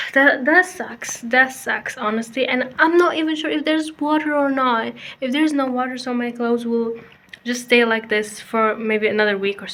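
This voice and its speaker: A woman talks at a moderate pace with a non-native accent, her pitch high and its variation ordinary. Noticeable background noise runs beneath her. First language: not English. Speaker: student vlogger. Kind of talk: casual vlog talk. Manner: informal, self-correcting.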